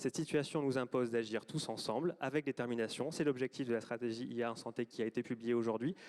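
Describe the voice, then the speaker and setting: With hardly any pauses, a man at a medium pitch races along at a very fast pace in a dry, close recording with no echo. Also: fairly even intonation. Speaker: government health official. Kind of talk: closing speech. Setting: auditorium with audience. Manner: hesitant, many fillers.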